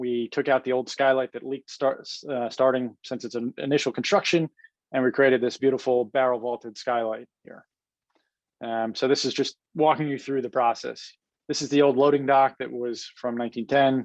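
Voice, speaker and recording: Dry and close with no echo, a man's medium-pitched voice stays flat and monotone against a quiet background. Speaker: real estate development executive. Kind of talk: webinar presentation. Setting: webinar. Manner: fast.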